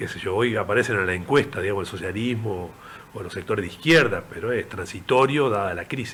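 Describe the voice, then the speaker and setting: This man speaks at a very fast pace. His fairly low pitch shows ordinary variation. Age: 70s. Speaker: veteran politician. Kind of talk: interview.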